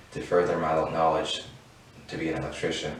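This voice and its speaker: A man talking at a fairly quick clip with fairly even intonation, noticeable background noise and audible room echo. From Virginia, US. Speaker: program graduate. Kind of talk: personal testimony.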